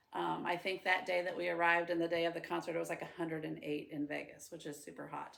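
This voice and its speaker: With a Midwestern American accent, a woman speaks very fast and hardly pauses at all. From central Illinois, US Midwest. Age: 40s. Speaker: preschool teacher. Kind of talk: personal introduction monologue. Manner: casual, with frequent 'um' fillers.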